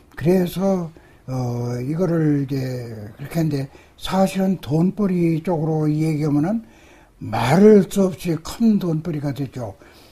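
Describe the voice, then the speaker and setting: A man's very slow speech with lively intonation over noticeable background noise. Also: fairly high pitch for a man. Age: 80s+. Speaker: acupuncture and moxibustion master. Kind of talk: interview answer.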